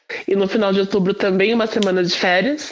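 Over noticeable background noise, a woman speaks at a medium pitch with ordinary variation. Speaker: chemistry teacher. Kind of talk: casual group discussion.

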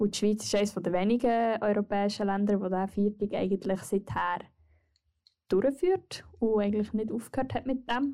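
A woman speaks at a moderate pace with a dark, mellow tone and a medium pitch. Her intonation is fairly even and her loudness very even. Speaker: podcast co-host, student. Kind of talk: casual chat.

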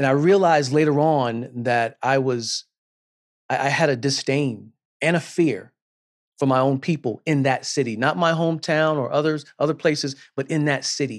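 Against a quiet background, a man speaks in a normal speaking voice, fairly high in pitch with ordinary pitch variation, at a moderate pace and with very even loudness. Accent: American. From US South, South Carolina. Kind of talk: sermon.

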